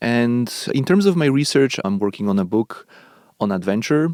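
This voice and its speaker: In a very clean recording with a silent background, a man with a Polish accent speaks at a moderate pace with ordinary pitch variation. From Poland. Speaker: professor. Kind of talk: interview. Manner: measured, with fillers and repetitions.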